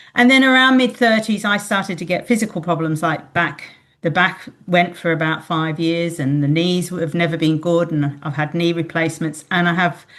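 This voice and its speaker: Speaking at a moderate pace, a woman with an Australian accent uses a fairly low pitch and ordinary pitch variation. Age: 60s. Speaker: retired librarian, podcast guest. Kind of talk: interview. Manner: halting.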